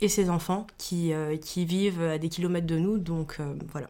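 Over a very clean recording with a silent background, a woman speaks at a fairly low pitch with a dark, mellow tone. Her intonation is fairly even and her pace fairly slow. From Guadeloupe. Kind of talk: interview. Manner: hesitant, many fillers.

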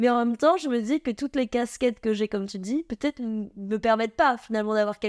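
On a very clean recording with a silent background, a normal speaking voice comes through dry and close with no echo and ordinary pitch variation. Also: woman. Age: 20s. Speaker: winemaker. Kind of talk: interview. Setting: office.

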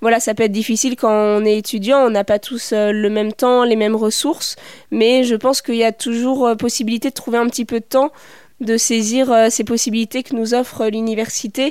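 A woman's fairly high voice at a fairly quick pace, flat and monotone, very even in loudness, on a very clean recording with a silent background. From not from La Rochelle; studied in Paris region. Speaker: doctoral researcher and theatre maker. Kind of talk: interview.

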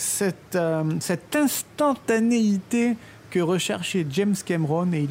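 A woman speaks very slowly with a dark, mellow tone and fairly low pitch. Her intonation is lively. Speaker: film podcast co-host. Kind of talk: scripted storytelling about film history.

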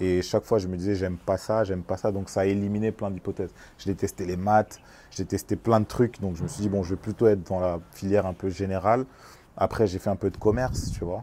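Speaking at a fairly quick pace, a man has a dark, mellow tone and a fairly low pitch. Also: fairly even intonation. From France, Congolese family. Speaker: music industry executive. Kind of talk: casual interview. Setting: on location. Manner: halting, repeats words.

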